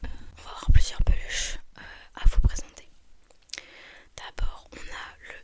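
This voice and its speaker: A very slow whisper, with noticeable background noise behind it. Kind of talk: ASMR roleplay as a shop assistant, whispered customer service. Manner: whispered, soft.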